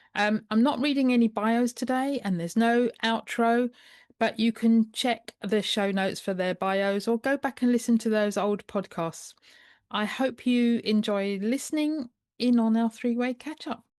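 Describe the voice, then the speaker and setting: Fairly high in pitch, a woman speaks with a British accent. The sound is dry and close with no echo, and the background is quiet. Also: ordinary pitch variation, moderate pace. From United Kingdom. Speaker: podcast host and health coach. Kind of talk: podcast intro.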